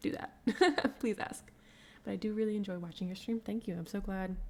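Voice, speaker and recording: A woman speaks with a Midwestern American accent. Her intonation is lively. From US Midwest, Cincinnati, Ohio. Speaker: illustrator streamer. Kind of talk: casual chat. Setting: live stream. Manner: fast.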